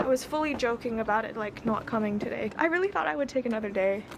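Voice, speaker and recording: With an American accent, a woman speaks over noticeable background noise. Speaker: beauty vlogger. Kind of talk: casual vlog. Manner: animated.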